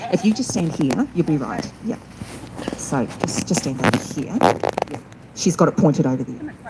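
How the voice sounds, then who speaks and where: A woman speaks loudly at a moderate pace in a very deep, low voice, her pitch swinging very widely, with long, frequent pauses and noticeable background noise. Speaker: event organiser and MC. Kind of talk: public speech at rally.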